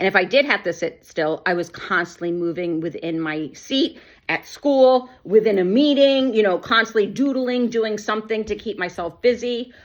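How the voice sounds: At a moderate pace and with few pauses, a woman speaks at medium pitch with ordinary pitch variation.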